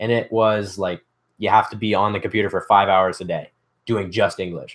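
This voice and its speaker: A man with a Canadian accent speaks at a fairly quick pace in a fairly low, flat monotone. The recording is very clean, with a silent background. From Canada, Ontario. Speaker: DIY youtuber. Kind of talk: casual livestream chat. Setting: livestream from workshop. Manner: fast.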